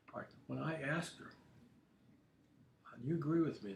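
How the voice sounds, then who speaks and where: Audible room echo is present. The man speaks with lively intonation. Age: 70s. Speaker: political commentator livestreamer. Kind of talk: casual livestream monologue. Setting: home studio livestream. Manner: halting, many repetitions.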